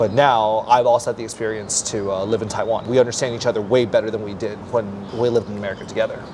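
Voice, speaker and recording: Over noticeable background noise, a man talks very fast in a flat monotone at a medium pitch. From US West Coast, Palo Alto. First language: Mandarin Chinese. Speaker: English teacher. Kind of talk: interview. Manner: casual.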